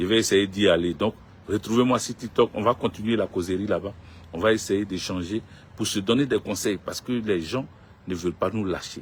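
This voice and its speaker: At a fairly quick pace, a man with an ordinary speaking voice talks at a fairly low pitch with fairly even intonation. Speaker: political commentator. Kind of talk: live stream monologue. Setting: social media live stream.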